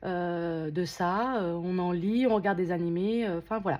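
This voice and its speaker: Her dark, mellow tone carries ordinary pitch variation as this woman speaks at a fairly slow pace. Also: quiet background. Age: 30s. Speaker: unboxing vlogger. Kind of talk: casual unboxing vlog. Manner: hesitant, many filler sounds.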